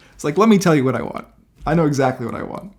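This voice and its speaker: A man talks at a very fast pace in a fairly high, somewhat breathy voice. His intonation is lively. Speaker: video creator sharing mental health journey. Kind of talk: personal vlog testimony. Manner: energetic; casual with filler words.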